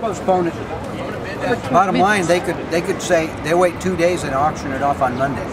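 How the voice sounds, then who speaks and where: At a moderate pace, the voice comes through dry with no echo, over loud background noise. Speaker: activist or participant. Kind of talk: casual conversation about a foreclosure auction. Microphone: phone near.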